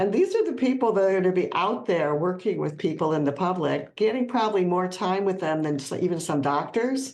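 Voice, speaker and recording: A woman with a Midwestern US accent and medium pitch speaks at a fairly quick pace with lively intonation and hardly any pauses. Noticeable background noise runs underneath. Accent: US Midwest. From Ohio. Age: 70s. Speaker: plant-based educator and author. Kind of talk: podcast interview.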